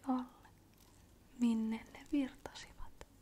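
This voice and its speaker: A soft-spoken woman whispers. She talks at a very slow pace. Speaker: ASMR creator. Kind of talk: bedtime story reading. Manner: soft-spoken, whispery, slow, calming.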